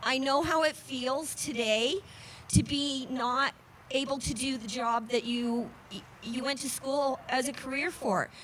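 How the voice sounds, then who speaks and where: Speech unfolds at a fairly slow pace with fairly even intonation. Noticeable background noise runs underneath. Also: woman, high pitch for a woman. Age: 60s. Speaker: rally speaker, former family counselor. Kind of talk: rally speech. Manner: halting.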